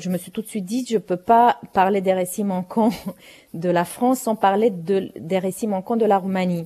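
Speaking fairly slowly with a Romanian accent, a woman has a dark, mellow tone, a medium pitch for a woman and ordinary pitch variation. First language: Romanian (speaking French). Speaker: playwright and novelist. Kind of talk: interview. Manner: halting, many repetitions.

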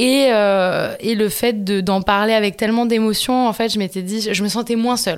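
A woman with a fairly high pitch speaks at a moderate pace with fairly even intonation and hardly any pauses. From southern France, Montpellier. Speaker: film director. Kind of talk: interview. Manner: hesitant, many fillers.

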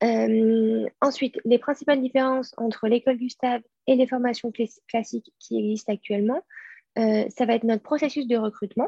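A woman has an unremarkable speaking voice, fairly high in pitch, with fairly even intonation. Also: moderate pace. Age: 20s. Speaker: school director and co-founder. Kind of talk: interview conversation. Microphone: connection dropped out.

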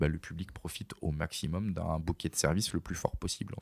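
Speaking at a moderate pace with fairly even intonation, a man is heard on a very clean recording with a silent background and a dry, close sound with no echo. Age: 30s. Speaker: entrepreneur, company director. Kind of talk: interview. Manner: hesitant, many fillers.

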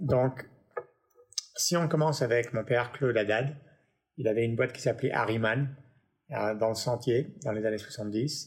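This man has a medium pitch and ordinary pitch variation, speaking at a fairly slow pace broken by long, frequent pauses. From Paris, then Los Angeles from age 9. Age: 50s. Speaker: music tech entrepreneur. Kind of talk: interview conversation. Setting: home studio.

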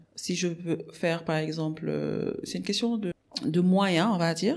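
A woman at a medium pitch, ordinary pitch variation, fairly slow pace. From Senegal, Dakar. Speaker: agribusiness entrepreneur. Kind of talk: interview. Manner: halting.

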